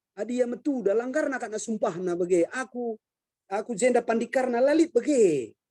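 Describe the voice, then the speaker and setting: The sound is dry and close, with no echo. A man with an extremely high pitch speaks at a fairly quick pace with ordinary pitch variation. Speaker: martial arts master and traditional musician. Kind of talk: online discussion.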